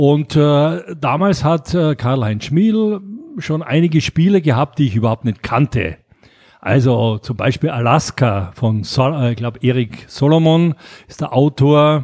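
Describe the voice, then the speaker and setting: Heard in a very clean, dry, close recording with a silent background and no echo, a man speaks with a fairly high pitch. His pace is fairly slow and his intonation lively. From Austria, Graz. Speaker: board game publisher. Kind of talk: casual interview. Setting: Mallorca. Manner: halting, many fillers.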